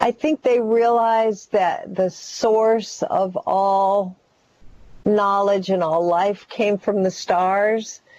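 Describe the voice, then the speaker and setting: With a dark, mellow tone, a woman speaks at a very slow pace. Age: 70s. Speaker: author and shaman. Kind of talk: interview.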